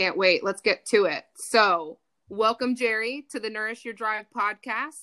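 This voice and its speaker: Here a woman speaks at a fairly high pitch with a bright, sharp tone and ordinary pitch variation. The sound is dry and close, with no echo. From United States. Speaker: podcast co-host. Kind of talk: interview; scripted outro. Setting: video call.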